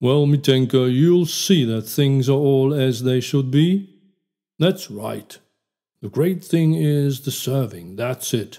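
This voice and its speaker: A man puts on a character voice, talking at a fairly slow pace with lively intonation. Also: medium pitch for a man. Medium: read story. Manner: jovial, hearty, repetitive.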